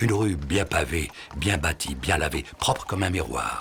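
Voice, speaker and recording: Over noticeable background noise, a man with a very deep, low voice talks at a very slow pace. His intonation is lively. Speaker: voice-over narrator. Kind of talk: film voice-over reading a writer's own text.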